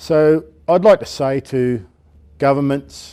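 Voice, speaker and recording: A man with an Australian accent talks in a dark, mellow tone with ordinary pitch variation, on a very clean recording with a silent background. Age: 60s. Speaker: unemployed seafarer. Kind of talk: testimony.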